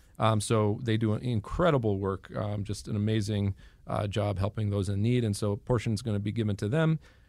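In a very clean recording with a silent background, a man with a plain, everyday voice speaks at a fairly quick pace, his pitch fairly low with ordinary variation. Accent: American. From Boston, Massachusetts. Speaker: Orthodox priest. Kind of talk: radio interview.

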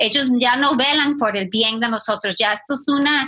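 The voice is raised and projected with a bright, sharp tone. It moves at a fairly slow pace with ordinary pitch variation. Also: woman. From Costa Rica and US. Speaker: ministry team director. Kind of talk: casual discussion.

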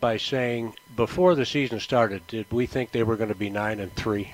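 At a moderate pace, a man with an American accent talks in a normal speaking voice. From upstate New York. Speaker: sports broadcaster. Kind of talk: casual chat. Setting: live remote broadcast at a store.

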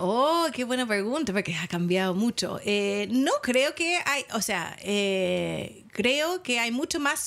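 A woman's very slow, lively speech in an American accent, over noticeable background noise. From United States. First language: English (speaking Spanish). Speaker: sex shop founder. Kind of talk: casual interview.

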